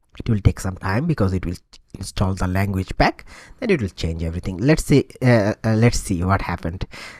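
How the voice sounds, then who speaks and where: With a Bengali accent, a man talks at a fairly quick pace in a fairly low pitch with ordinary pitch variation, the sound dry and close with no echo on a very clean recording with a silent background. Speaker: tutorial instructor. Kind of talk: tutorial. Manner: hesitant, many filler sounds.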